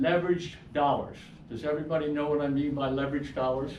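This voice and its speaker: At a moderate pace, a man with a fairly high pitch talks in a room with audible echo. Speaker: financial seminar presenter. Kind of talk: seminar presentation. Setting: room with live audience.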